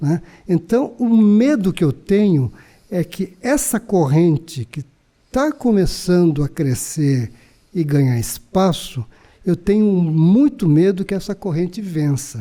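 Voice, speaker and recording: A man with a high pitch and a dark, mellow tone speaks. His pace is very slow, with very wide pitch swings. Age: 60s. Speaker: labor court judge. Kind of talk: interview conversation.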